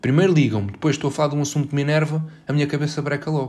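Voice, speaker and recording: A man talks with a European Portuguese accent. His voice is somewhat breathy. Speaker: podcaster. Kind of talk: casual monologue. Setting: bedroom at home.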